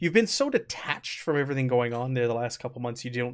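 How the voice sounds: The voice reads aloud naturally, its pitch shifting in an ordinary way.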